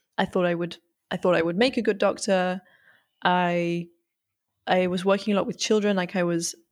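This woman has a northern English accent, medium pitch and fairly even intonation. She talks at a moderate pace on a very clean recording with a silent background. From northern England. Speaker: 3D artist and designer. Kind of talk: casual interview chat.

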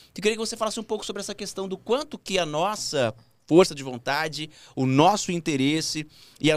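In a normal speaking voice, a man talks fairly quickly with lively intonation over a very clean recording with a silent background. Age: 30s. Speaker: podcast host. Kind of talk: casual chat.

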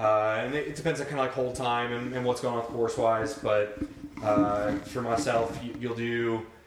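Noticeable background noise and audible room echo surround speech with fairly even intonation. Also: man. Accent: American. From Ohio, Cleveland and Columbus suburbs. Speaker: army special forces soldier. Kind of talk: casual chat. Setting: home basement.

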